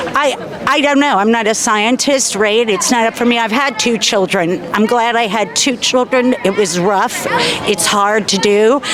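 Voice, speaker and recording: Over noticeable background noise, a woman speaks at a moderate pace with very even loudness. Her pitch is fairly high, with ordinary pitch variation. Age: 60s. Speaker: marcher interviewed at a protest. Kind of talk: street interview. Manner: measured, with many fillers.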